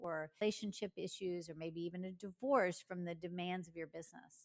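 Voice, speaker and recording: With a normal speaking voice, a woman of medium pitch talks at a moderate pace and with fairly even intonation. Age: 60s. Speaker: business coach. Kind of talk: solo podcast monologue.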